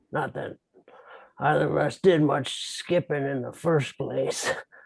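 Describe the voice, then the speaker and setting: Using a put-on character voice, a man talks at a fairly slow pace with fairly high pitch. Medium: stage play. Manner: hesitant, mild.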